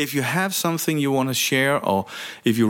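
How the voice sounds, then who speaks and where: This man speaks with a Danish accent. The recording is very clean, with a silent background. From Denmark. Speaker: leadership coach and podcast host. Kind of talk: solo monologue podcast. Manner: halting, with frequent fillers and repetitions.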